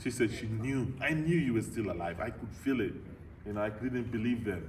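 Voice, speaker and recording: A somewhat breathy man speaks at medium pitch and a fairly quick pace with ordinary pitch variation, with audible room echo around him. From Nigeria. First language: a Nigerian language (lost). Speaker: motivational speaker. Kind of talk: Q&A after a talk, personal story. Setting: club meeting with audience.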